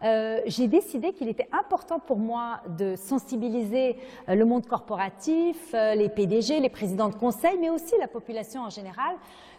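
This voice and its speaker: Against noticeable background noise, a woman's fairly high voice swings very widely in pitch. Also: moderate pace. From Lebanon. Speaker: nonprofit founder and president. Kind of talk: interview.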